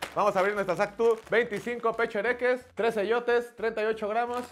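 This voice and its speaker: A man with a Mexican accent speaks at a high pitch in an animated tone over light background noise. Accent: Mexican Spanish, colloquial. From Mexico. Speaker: comedian and YouTuber. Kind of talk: casual comedic taste-test vlog with slangy, joking banter and promo pitch. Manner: animated, fast, jokey; slangy, profanity-laden. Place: studio.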